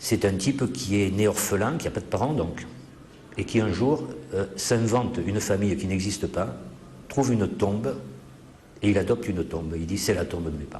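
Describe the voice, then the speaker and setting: Lively intonation marks this man's fairly low voice. He keeps a moderate pace but pauses often and at length. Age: 60s. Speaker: author. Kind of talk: interview.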